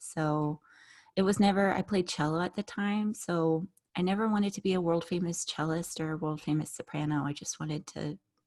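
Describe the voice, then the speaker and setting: A woman with an American accent has a fairly low pitch and ordinary pitch variation, on a very clean recording with a silent background. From US West Coast, San Francisco Bay Area. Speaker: singer and crafter. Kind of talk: interview. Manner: animated.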